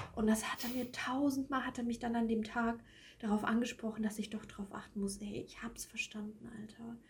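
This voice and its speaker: A woman speaks at a moderate pace with a fairly high pitch. Noticeable background noise can be heard. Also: big swings in loudness. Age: 20s. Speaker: podcast co-host. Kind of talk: casual chat.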